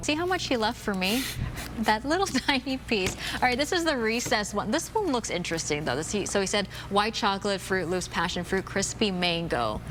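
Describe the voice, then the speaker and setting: A woman talks at a fairly quick pace with a medium pitch and very wide pitch swings. Noticeable background noise is present. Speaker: TV news anchor and reporter. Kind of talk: casual on-air banter.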